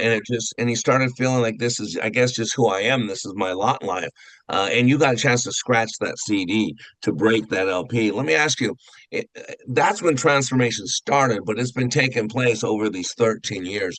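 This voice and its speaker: This man has an ordinary speaking voice with a medium pitch. He talks at a moderate pace with ordinary pitch variation. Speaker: radio and podcast host, interviewer. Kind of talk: interview host questions.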